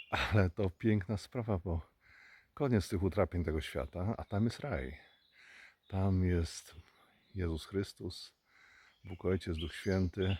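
A fairly slow, somewhat breathy delivery in a Polish accent, broken by long, frequent pauses. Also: man. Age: 60s. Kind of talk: religious reflection talk.

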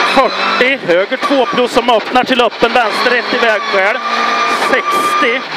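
Loud background noise fills the clip. The speech comes at a very slow pace. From Sweden. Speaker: rally co-driver. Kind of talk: rally pace notes read aloud to the driver. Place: car. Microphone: headset.

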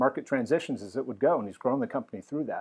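In a quiet setting, a man is talking. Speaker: host interviewer. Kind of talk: event host introduction. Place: home room. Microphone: lapel.

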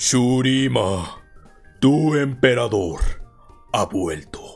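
Using a put-on character voice at a medium pitch, a man speaks at a very slow pace with faint music in the background.

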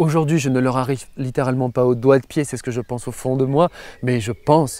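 A man's voice of medium pitch, dark and mellow in tone, with ordinary pitch variation and a dry sound with no echo. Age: 30s. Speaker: motivational YouTuber. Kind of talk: casual motivational monologue. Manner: animated. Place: open country. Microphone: lapel.

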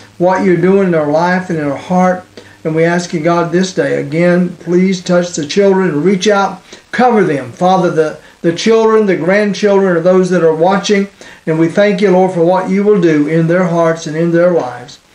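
The tone is slightly mellow, and the intonation stays fairly even. Delivery is at a moderate pace, with audible room echo. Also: man, high pitch for a man.

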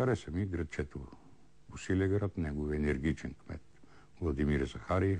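Very deep and low, this man's voice has a dark, mellow tone and vocal fry. He talks at a moderate pace with ordinary pitch variation. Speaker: TV history show host. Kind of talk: answering viewer questions. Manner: hesitant with repetitions.

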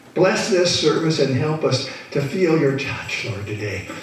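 A man talks at a moderate pace, and audible room echo trails his words. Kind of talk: prayer. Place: church.

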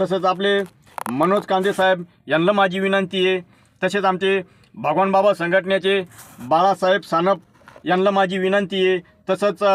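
This man speaks at a high pitch with monotone, flat intonation. His loudness stays very even. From Maharashtra, Buldhana district (Lonar area). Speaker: local community member / vlogger. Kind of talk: personal video invitation. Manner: repetitive, pleading.

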